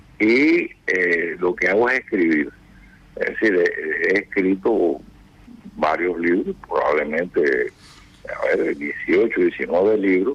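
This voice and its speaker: Over noticeable background noise, a man talks at a very slow pace with very even loudness. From Cuba. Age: 80s+. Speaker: retired general and author. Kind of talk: radio interview.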